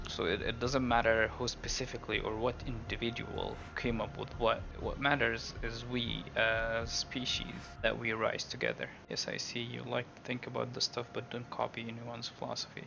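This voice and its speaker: With an Arabic accent, a man speaks at a moderate pace over noticeable background noise. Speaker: YouTuber. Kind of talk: casual monologue. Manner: halting, many fillers.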